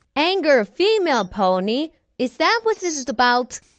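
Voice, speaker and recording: A female-sounding put-on character voice, high-pitched for a woman, with very wide pitch swings at a moderate pace. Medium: fan dub.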